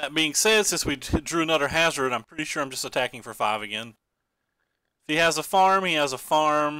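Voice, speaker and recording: In an Eastern Kentucky accent, a man talks at a fairly quick pace with a fairly high pitch and a bright, sharp tone, on a very clean recording with a silent background. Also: ordinary pitch variation. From Eastern Kentucky, US. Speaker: game streamer. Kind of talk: live gameplay commentary. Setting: live stream. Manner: casual, thinking aloud with fillers.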